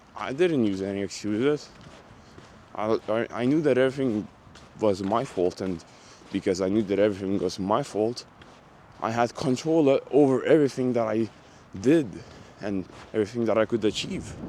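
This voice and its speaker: A man with a dark, mellow tone speaks at a moderate pace, taking long, frequent pauses. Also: medium pitch for a man, ordinary pitch variation. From Lithuania. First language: Lithuanian. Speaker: online business coach. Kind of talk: motivational vlog talk. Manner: animated, emphatic; stammering repetitions.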